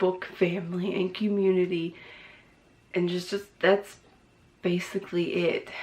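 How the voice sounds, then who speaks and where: A woman with a fairly low pitch and fairly even intonation speaks over noticeable background noise. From Newfoundland, Canada. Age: 20s. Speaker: book vlogger. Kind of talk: casual vlog talk.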